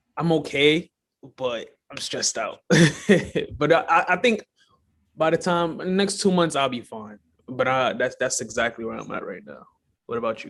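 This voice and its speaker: With a New York accent and a fairly high pitch, a man talks at a moderate pace with lively intonation, big swings in loudness, and long, frequent pauses. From Brooklyn, New York (early childhood in Guyana). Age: 20s. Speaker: filmmaker and mental health advocate. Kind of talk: casual interview.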